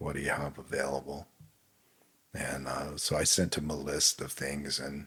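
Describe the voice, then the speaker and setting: At a moderate pace, a man talks in a very deep, low voice with vocal fry, a bright, sharp tone, and monotone, flat intonation. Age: 60s. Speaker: winemaker. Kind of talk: casual chat.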